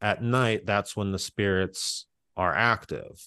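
A man with an American accent uses an ordinary speaking voice, fairly low in pitch, at a fairly slow pace with fairly even intonation. The sound is dry and close with no echo, over a quiet background. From Pittsburgh area, western Pennsylvania. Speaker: improviser. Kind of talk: casual chat, storytelling.

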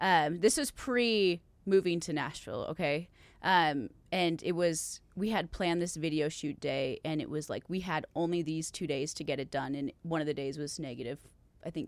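On a very clean recording with a silent background, a woman with an Upper Midwest accent speaks at a moderate pace. Her pitch is fairly low, with ordinary variation. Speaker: country singer. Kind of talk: casual chat.

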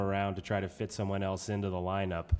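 A man with a New England accent talks at a very fast pace in a very clean recording with a silent background. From New Hampshire. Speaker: podcast co-host. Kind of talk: casual sports podcast discussion.

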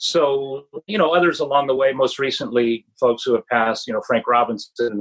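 A man speaks at medium pitch and a moderate pace. He has an ordinary speaking voice. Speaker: author. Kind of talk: casual interview chat.

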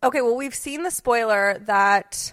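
A woman speaks with music in the background. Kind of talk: casual chat.

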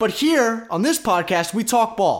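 Recorded very cleanly against a silent background, a man talks at an extremely high pitch with very wide swings in it. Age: 20s. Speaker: sports podcast host. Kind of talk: solo sports analysis podcast.

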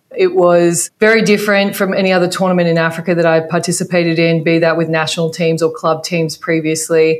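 Speaking very fast with hardly any pauses, a woman with an Australian accent uses a fairly low pitch. Her intonation is monotone and flat, and her loudness stays very even. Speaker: basketball coach. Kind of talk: interview.

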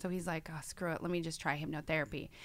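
Speaking in an American accent, a woman has a fairly low pitch and a bright, sharp tone. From New York State. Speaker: hypnotherapist. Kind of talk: casual chat.

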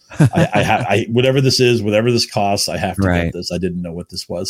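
Talking at a fairly quick pace, a man uses an ordinary speaking voice with ordinary pitch variation. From New England, Chelmsford, Massachusetts. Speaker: fantasy baseball writer. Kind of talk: casual interview.

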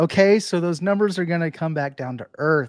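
Moderate-paced speech from a man with an unremarkable speaking voice and fairly high pitch, on a very clean recording with a silent background. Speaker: sports podcast co-host. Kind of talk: casual sports chat.

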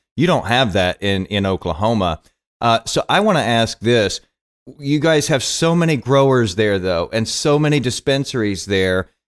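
A man speaks with a Texan accent and lively intonation. The recording is very clean, and the background is silent. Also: medium pitch for a man, moderate pace, very even loudness. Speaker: podcast host. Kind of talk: casual conversation.

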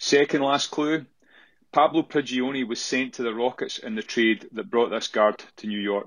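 A man with a strong Scottish accent speaks at a moderate pace and medium pitch, with ordinary pitch variation, against a quiet background. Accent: thick Scottish. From Scotland. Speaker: listener caller. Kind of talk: recorded voice message quiz.

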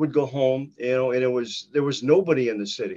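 This man has an Upper Midwest accent. His pitch is fairly high. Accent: Upper Midwest (Minnesota). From northern Minnesota. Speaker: retired hockey player. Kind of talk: interview. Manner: halting.

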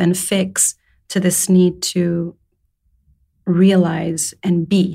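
A woman speaks at a medium pitch. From Saudi Arabia. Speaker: storyteller and poet. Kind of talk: casual interview. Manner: hesitant, reflective.

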